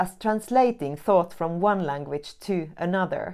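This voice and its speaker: Against a quiet background, a woman with a non-native accent speaks at a moderate pace in a dark, mellow tone with lively intonation. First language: not English. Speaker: academic writing teacher, researcher. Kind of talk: scripted tutorial.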